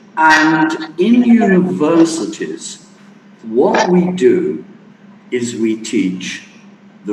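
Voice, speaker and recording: Speaking very slowly with a British accent, a man is heard with audible room echo and noticeable background noise. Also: long, frequent pauses. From England. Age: 60s. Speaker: guest lecturer. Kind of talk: lecture. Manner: animated.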